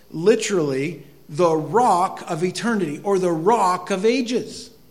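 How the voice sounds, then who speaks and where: A high-pitched man with an American accent, speaking very slowly with lively intonation amid audible room echo. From northern Maine, US. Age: 50s. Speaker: pastor. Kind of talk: sermon.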